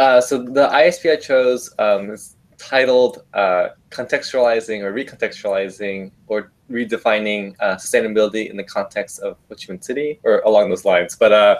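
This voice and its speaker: A man with a Vietnamese accent at a moderate pace, with big swings in loudness. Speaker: study abroad alumnus, university student. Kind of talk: interview answers.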